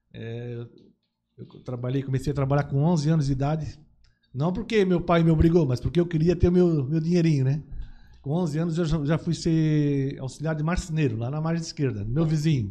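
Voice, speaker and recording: Fairly high for a man, his voice has a dark, mellow tone, ordinary pitch variation, and a somewhat breathy quality. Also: moderate pace. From Santa Catarina, Brazil (Blumenau/Gaspar). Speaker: businessman, TV producer. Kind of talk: casual interview chat.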